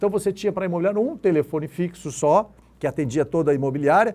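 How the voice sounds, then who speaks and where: A man speaks here. His pitch swings very widely. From Rio Grande do Sul, Brazil. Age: 60s. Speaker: real estate broker. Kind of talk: interview. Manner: halting.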